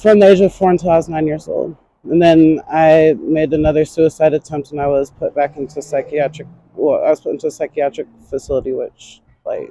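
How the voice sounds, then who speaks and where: A woman talks at a fairly quick pace with fairly even intonation, the sound dry and close with no echo. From North Carolina. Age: 20s. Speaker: homeless interviewee. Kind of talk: street interview. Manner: halting.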